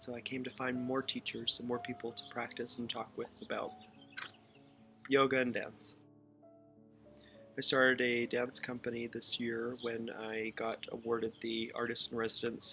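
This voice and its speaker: With music in the background, a man speaks at a fairly slow pace and medium pitch in a monotone, flat intonation, with long, frequent pauses. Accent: American. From Waynesburg, Pennsylvania. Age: 20s. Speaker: modern dancer, choreographer and yoga teacher. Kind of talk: interview answer.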